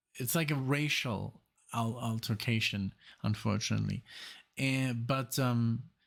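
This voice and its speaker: Fairly slow and very even in loudness, a man speaks at medium pitch with fairly even intonation. The recording is very clean, the background silent. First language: German. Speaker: music reaction youtuber. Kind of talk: casual music reaction commentary. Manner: halting, many fillers and restarts.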